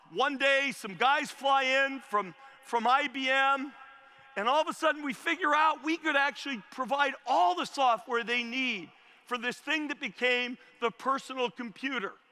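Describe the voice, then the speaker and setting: An energetic, enthusiastic man with an American accent, extremely high in pitch, in a raised, projected voice with ordinary pitch variation at a moderate pace. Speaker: commencement speaker, former tech company CEO. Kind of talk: commencement speech to a live stadium audience. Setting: outdoor stadium with PA system. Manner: energetic, fired up, enthusiastic.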